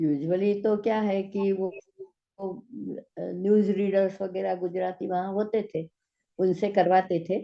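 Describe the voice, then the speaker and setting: The speaker, with a Gujarati accent, uses monotone, flat intonation broken by long, frequent pauses. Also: woman, medium pitch for a woman. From Gujarat, Ahmedabad. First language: Gujarati (speaking Hindi). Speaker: physics teacher and science translator. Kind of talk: interview. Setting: video call.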